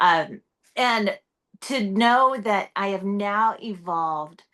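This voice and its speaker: At a very slow pace, a woman speaks loudly with a medium pitch and a bright, sharp tone over a quiet background. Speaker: entrepreneur and personal brand speaker. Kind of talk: casual chat. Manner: loud, outgoing.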